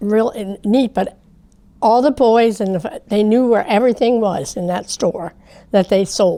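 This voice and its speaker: A woman speaks very slowly in a dark, mellow tone with a central Pennsylvania accent. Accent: central Pennsylvania American. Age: 80s+. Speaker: longtime resident. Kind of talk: interview.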